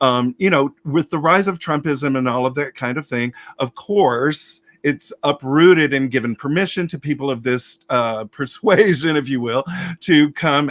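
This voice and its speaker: In an American accent, a man with a fairly high pitch and ordinary pitch variation speaks at a fairly slow pace, the sound dry and close with no echo. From US South (Alabama). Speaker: drag storyteller. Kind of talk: casual chat. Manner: halting.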